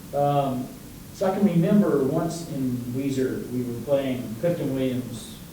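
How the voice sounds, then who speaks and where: With audible room echo and noticeable background noise, a man talks fairly slowly at a fairly high pitch with ordinary pitch variation. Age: 70s. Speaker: music educator. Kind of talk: lecture. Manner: animated.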